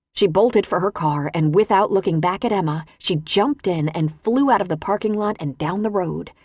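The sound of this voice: Reading done in an unforced voice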